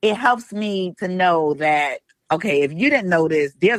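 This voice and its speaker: Speaking with an animated tone and lively intonation, a woman with a fairly low pitch talks in a New York accent. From New York, Brooklyn. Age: 50s. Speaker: retired police officer turned fishing influencer. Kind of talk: interview. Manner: fast.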